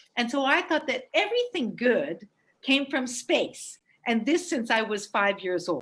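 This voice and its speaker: A woman with an American accent, high in pitch, at a fairly slow pace with very wide pitch swings, on a very clean recording with a silent background. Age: 60s. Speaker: space entrepreneur. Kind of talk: presentation with slides.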